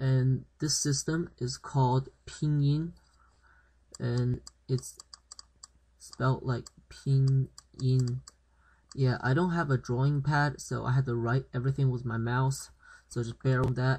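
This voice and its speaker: A man at a medium pitch, somewhat breathy, with monotone, flat intonation, a fairly slow pace and long, frequent pauses. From China. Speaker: language teacher. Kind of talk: tutorial. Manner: halting, many fillers.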